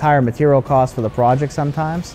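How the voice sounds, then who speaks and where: Faint music plays in the background. A man speaks over it at a fairly quick pace. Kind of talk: interview answer. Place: factory. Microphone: lapel.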